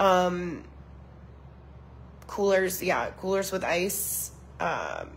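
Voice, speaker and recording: A woman speaks with vocal fry. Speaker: social media user giving disaster relief updates. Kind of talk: live stream update. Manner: hesitant, many fillers.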